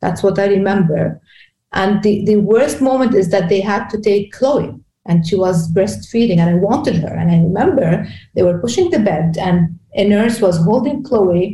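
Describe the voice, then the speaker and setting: Speaking at a moderate pace in a Lebanese accent, a woman has a medium pitch with ordinary variation, a dark, mellow, somewhat breathy tone, and very even loudness. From Lebanon; Beirut, Lebanon. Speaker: executive coach. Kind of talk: interview. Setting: video call.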